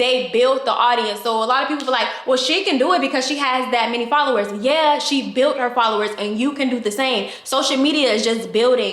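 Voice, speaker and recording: In a room with audible echo and noticeable background noise, a high-pitched woman talks at a fairly quick pace with hardly any pauses and ordinary pitch variation. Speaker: online business coach. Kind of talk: tutorial. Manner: fast.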